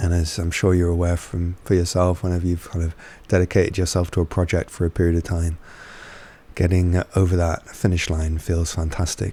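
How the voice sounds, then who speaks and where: A man with a very deep, low pitch and a dark, mellow, somewhat breathy tone speaks at a fairly quick pace in a monotone, flat intonation. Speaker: spiritual teacher and channeler. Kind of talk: casual vlog talk. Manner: hesitant, many fillers.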